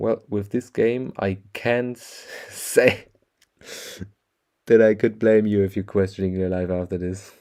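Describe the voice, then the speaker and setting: Pausing long and often, a man speaks at a fairly slow pace with a fairly low pitch, fairly even intonation and a dark, mellow tone. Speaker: gaming streamer. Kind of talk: casual gameplay commentary. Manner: casual.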